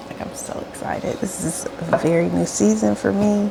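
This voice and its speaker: A woman at a moderate pace against noticeable background noise. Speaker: stay-at-home mom vlogger. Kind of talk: casual vlog chat.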